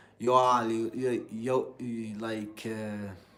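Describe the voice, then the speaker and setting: With a Middle Eastern accent, a man speaks in a fairly low pitch and a monotone, flat intonation. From Algeria. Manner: hesitant, many fillers.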